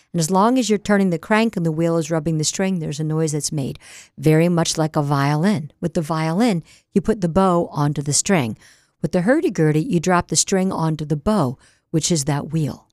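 A woman with an American accent speaks in a normal speaking voice at a fairly low pitch, with ordinary pitch variation and a fairly quick pace. The recording is very clean, with a dry, close sound, no echo and a silent background. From US, Delaware (Newark). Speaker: radio host and folk musician. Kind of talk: interview. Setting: radio studio.

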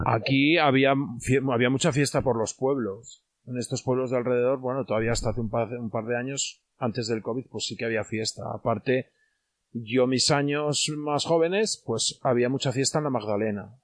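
With a normal speaking voice, a man talks at a medium pitch and a moderate pace, his pitch varying in an ordinary way. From Spain, León province village. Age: 40s. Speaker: villager. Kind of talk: casual interview.

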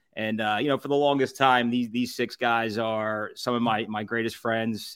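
A man's medium-pitched voice in a Philadelphia accent at a fairly quick pace. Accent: Philadelphia area. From Southampton, Pennsylvania. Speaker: food reviewer and podcast founder. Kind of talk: casual chat.

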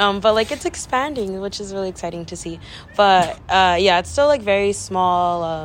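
A woman speaks in an ordinary speaking voice at a moderate pace. Her medium pitch varies in an ordinary way, and her loudness swings widely. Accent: American. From Central Valley, California (Delano). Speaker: college student podcast co-host. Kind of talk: casual chat.

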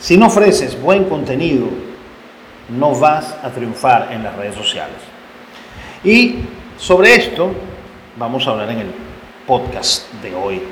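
A man's fairly high voice with very wide pitch swings and big swings in loudness, at a fairly slow pace with long, frequent pauses, over noticeable background noise and audible room echo. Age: 50s. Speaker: podcast host and independent sports journalist. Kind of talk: solo podcast monologue with advice.

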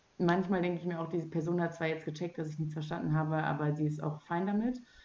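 The speaker is a woman with a fairly low pitch. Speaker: podcast host. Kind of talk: casual chat. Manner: loud.

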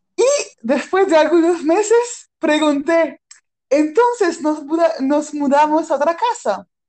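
A woman with a high voice speaks very slowly, her pitch swinging very widely. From France. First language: French (speaking Spanish). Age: 30s. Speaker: improv performer. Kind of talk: personal testimony. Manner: halting.

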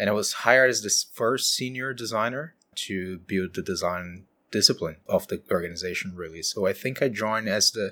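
With a Brazilian accent, the speaker talks at a moderate pace in a bright, sharp tone, in a very clean recording with a silent background. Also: man. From Brazil, São Paulo state countryside. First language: Portuguese. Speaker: design leader. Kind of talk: interview.

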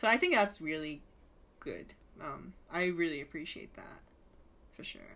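A woman's fairly low-pitched voice with a bright, sharp tone, big swings in loudness, and long, frequent pauses. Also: ordinary pitch variation, moderate pace. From Japan. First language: Japanese. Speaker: film student. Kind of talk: casual chat.

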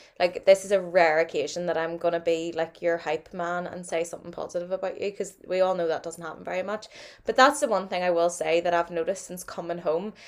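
Speaking very fast with hardly any pauses, a woman with a fairly low pitch keeps her intonation fairly even while her loudness swings widely. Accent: Northern Irish. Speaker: podcast co-host. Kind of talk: casual chat.

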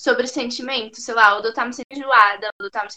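In a dry, close sound with no echo, a woman with an unremarkable speaking voice talks at a fairly quick pace, fairly high in pitch, with fairly even intonation. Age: 20s. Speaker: rapper. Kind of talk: casual chat.

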